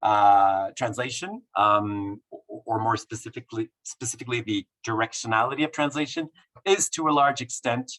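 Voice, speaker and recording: A man's medium-pitched voice with ordinary pitch variation, dry and close with no echo. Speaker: professor. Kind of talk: lecture. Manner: fast; halting.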